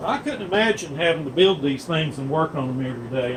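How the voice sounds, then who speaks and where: A man's fairly high-pitched voice with ordinary pitch variation, at a moderate pace amid noticeable background noise. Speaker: diesel pump technician. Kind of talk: workshop demonstration. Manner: casual with fillers; loud.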